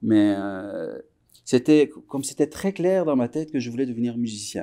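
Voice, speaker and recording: At a fairly slow pace, a man speaks with a medium pitch and ordinary pitch variation. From Iran (Tehran), moved to Quebec at 14. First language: Persian (Farsi) (speaking French). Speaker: musician. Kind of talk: interview. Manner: halting, many fillers and repetitions.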